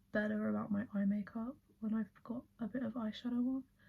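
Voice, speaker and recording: Soft-spoken and somewhat breathy, a woman talks in a relaxed tone at a fairly high pitch with fairly even intonation. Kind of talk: ASMR get ready with me, chatty makeup talk to camera. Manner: soft-spoken, relaxed, chatty.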